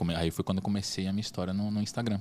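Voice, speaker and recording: The recording is very clean and the background silent. A man's very deep, low voice carries fairly even intonation. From Brazil, raised mostly in Salvador, Bahia. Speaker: entrepreneur, designer. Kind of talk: interview, casual chat. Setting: studio podcast, event with people around.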